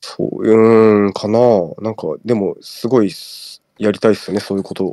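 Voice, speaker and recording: Speaking at a moderate pace, a man with a fairly low pitch and a dark, mellow tone keeps a monotone, flat intonation. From Tokyo. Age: 30s. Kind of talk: casual chat.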